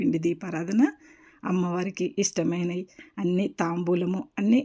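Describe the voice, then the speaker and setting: Her medium-pitched voice has a dark, mellow tone, and the woman keeps her intonation fairly even. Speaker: vlogger. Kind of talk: devotional tutorial vlog. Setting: home puja room.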